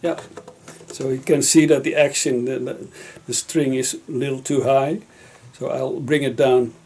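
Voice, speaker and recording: Amid noticeable background noise, a man speaks at a moderate pace in a fairly high pitch, with fairly even intonation and long, frequent pauses. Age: 60s. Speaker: guitar repairer and musician. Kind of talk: casual explanation to visitor. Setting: home workshop. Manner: halting, many fillers.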